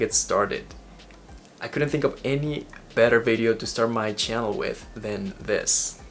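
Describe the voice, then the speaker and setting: A man speaks with an Ecuadorian accent. His pace is moderate. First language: Spanish. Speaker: vlogger. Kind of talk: vlog monologue.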